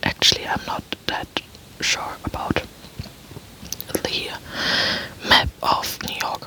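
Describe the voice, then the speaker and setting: Someone whispers with a German accent. Noticeable background noise is present. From Germany. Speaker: ASMR youtuber. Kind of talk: ASMR casual talk. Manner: soft-spoken; halting. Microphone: poor microphone setup.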